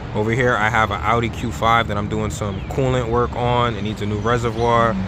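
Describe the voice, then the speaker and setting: Very fast and at a medium pitch, a man talks with fairly even intonation amid noticeable background noise and audible room echo. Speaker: auto mechanic and shop manager. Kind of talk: casual vlog shop tour. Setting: auto repair shop, partly outdoors. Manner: stuttering a bit; casual, filler-heavy.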